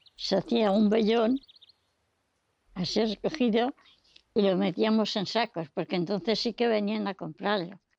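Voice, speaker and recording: Vocal fry at a fairly slow pace. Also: woman, dry, close sound with no echo. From Serrada de la Fuente, Sierra Norte of Madrid, Spain. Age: 80s+. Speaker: elderly villager sharing rural memories. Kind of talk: oral history testimony.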